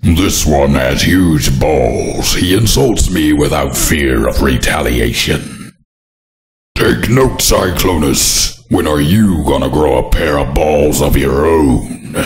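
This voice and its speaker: Putting on a character voice, a man speaks very deep and low. His voice is raspy, and the pace is fairly slow. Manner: commanding, manic, ranting.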